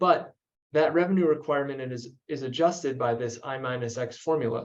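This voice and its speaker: A man is speaking at a moderate pace. He has a normal speaking voice. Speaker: energy policy researcher. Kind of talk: webinar presentation.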